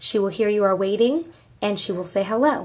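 A woman talks at a moderate pace with lively intonation. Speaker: office staff trainer. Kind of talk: tutorial. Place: office. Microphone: camera far.

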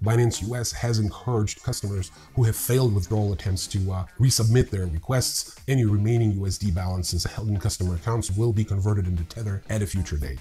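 A man talks fast in a dark, mellow tone, fairly low in pitch, with ordinary pitch variation.

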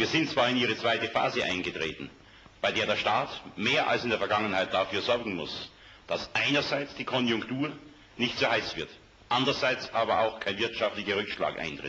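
A man with ordinary pitch variation speaks at a moderate speed while light background noise sits under his voice. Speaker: politician. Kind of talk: political speech in a campaign ad. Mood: earnest, emphatic. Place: studio.

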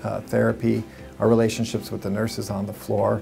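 Clear music sits in the background behind a man speaking at a fairly low pitch. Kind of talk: interview answer. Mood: calm, earnest. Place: office.

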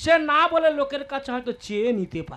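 A man puts on a character voice, pitched extremely high with a fairly bright tone, talking fast with big pitch swings.

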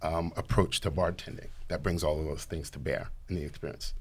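A man is speaking. He has an American accent. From New York. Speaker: mixologist, bar professional; guest. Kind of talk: tutorial. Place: studio. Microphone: studio mic.

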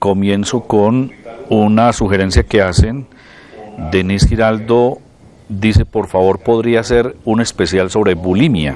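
A man at a fairly low pitch and fairly slow pace, with ordinary pitch variation and noticeable background noise. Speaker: television host. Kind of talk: TV health show hosting. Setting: studio.

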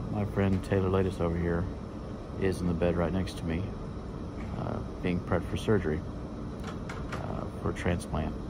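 A man talks at a moderate pace with long, frequent pauses against loud background noise. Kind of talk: casual vlog chat. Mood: anxious, emotional, hopeful. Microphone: phone near.

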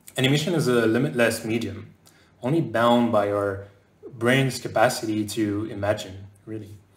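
A man speaks with fairly even intonation. The room echo is audible. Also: medium pitch for a man, moderate pace. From France, raised partly in southern North America. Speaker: game animator. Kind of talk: conference talk. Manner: hesitant fillers. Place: home room.

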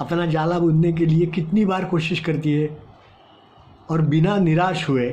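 Very slowly, a man delivers his words. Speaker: storyteller for children. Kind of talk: storytelling to children. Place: home room. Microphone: phone near.

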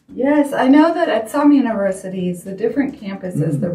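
Audible room echo fills the clip as a woman speaks at a very fast pace. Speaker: guest. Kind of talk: interview answer. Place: studio.

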